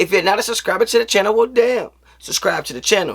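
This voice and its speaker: In an animated tone, a man speaks with very wide pitch swings. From US East Coast. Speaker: sports YouTuber. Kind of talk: casual commentary.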